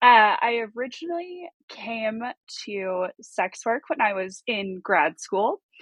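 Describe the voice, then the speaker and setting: Her pitch fairly high, a woman talks with a Southeastern US accent. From US South. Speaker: sex worker. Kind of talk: interview.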